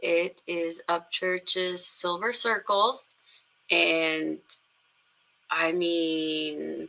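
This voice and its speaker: A woman's quiet, very slow speech with long, frequent pauses over noticeable background noise. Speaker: music reaction YouTuber. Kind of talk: casual reaction video talk.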